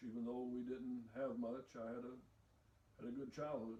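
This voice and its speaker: With audible room echo, a man speaks in an Appalachian accent at a medium pitch with monotone, flat intonation. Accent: Appalachian Southern US. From US South, eastern Kentucky. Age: 60s. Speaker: retired preacher and factory mechanic. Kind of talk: interview.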